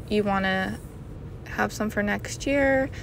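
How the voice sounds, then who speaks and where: The speech moves at a fairly slow pace, the sound dry with no echo and light noise in the background. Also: woman. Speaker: shopping vlogger. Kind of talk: casual vlog chat. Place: shop. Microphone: phone near.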